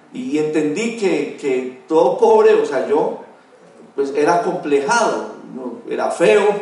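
Noticeable background noise and audible room echo around a male speaker. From Colombia, Dosquebradas (Risaralda). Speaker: network marketing executive. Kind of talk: motivational life-story talk.

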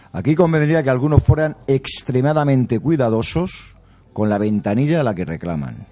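A man with a dark, mellow tone, a medium pitch, lively intonation and a moderate pace. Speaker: sports journalist. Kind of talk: round-table debate. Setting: restaurant.

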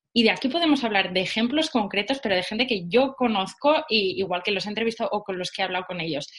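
Speech comes at a very fast pace with hardly any pauses and lively intonation. Noticeable background noise is present. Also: woman, fairly high pitch for a woman. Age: young. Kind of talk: interview. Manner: animated.

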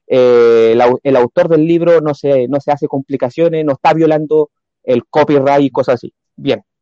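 At a moderate pace, a man with a fairly high pitch speaks in a normal speaking voice with fairly even intonation. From Chile, Coronel. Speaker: church planter. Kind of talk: religious talk show discussion. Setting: video call.

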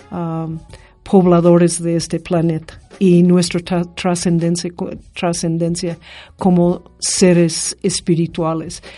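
Over music in the background, a woman speaks very slowly in a fairly low, monotone voice with flat intonation. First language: English (speaking Spanish). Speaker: university director. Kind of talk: interview. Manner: halting, many fillers.

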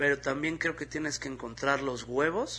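A man with a Mexican accent speaks at a fairly slow pace. His tone is bright and sharp, and his intonation fairly even. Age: 40s. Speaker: comedian. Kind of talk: casual monologue.

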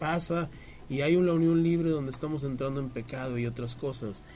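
Audible room echo surrounds speech with ordinary pitch variation. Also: man. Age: 40s. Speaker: radio host. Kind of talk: casual chat. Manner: halting.

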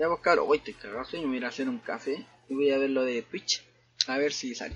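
A man is speaking. His pace is fairly slow. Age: 20s. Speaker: podcaster. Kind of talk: casual chat. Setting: at home. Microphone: new microphone.

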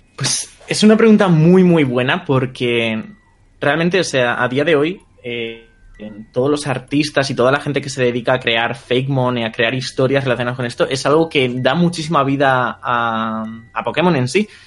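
The speaker has a Madrid accent. The pace is moderate, and the pitch varies in an ordinary way. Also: man, medium pitch for a man. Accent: Castilian Spanish (Madrid). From Spain, Madrid outskirts. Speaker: YouTuber. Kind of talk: interview.

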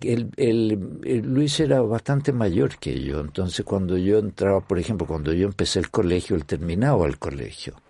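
A man at a moderate pace with a dark, mellow tone, very wide pitch swings, and hardly any pauses. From Chile. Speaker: orchestra conductor. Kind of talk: interview. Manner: halting.

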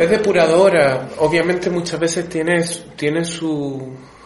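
A man talks at a fairly high pitch. Room echo and noticeable background noise are present. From Chile. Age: 30s. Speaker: tarot reader. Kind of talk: casual chat.

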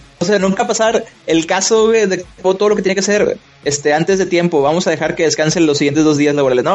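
With a Mexican accent, a man talks very fast in a high voice at very even loudness, over noticeable background noise. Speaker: video game developer. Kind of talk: casual chat. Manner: casual, laughing often.

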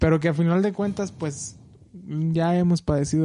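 Fairly high for a man, this voice has a dark, mellow tone and fairly even intonation. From Mexico, Michoacán. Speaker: film podcast co-host. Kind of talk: casual chat.

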